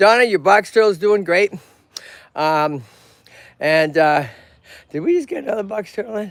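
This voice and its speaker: A man with a Boston accent talks at a moderate pace in a high pitch, his tone animated and his intonation lively. Long, frequent pauses break up his speech. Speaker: tortoise rescue owner and streamer. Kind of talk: live stream casual chat. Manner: animated, halting with fillers.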